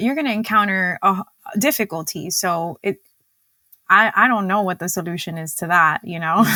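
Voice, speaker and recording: A woman with a Spanish accent speaks at a moderate pace and medium pitch, her bright, sharp tone showing big swings in loudness and ordinary pitch variation, in a dry, close sound with no echo. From Cuba. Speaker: dietitian and diabetes educator. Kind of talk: podcast interview.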